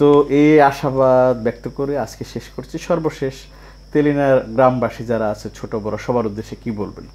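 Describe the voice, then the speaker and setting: A man's voice has a dark, mellow tone. It keeps a fairly even intonation. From Bangladesh, Tangail area; Bangladesh. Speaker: video channel host, interviewer. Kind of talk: interview. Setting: guest's home. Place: home room. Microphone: phone near.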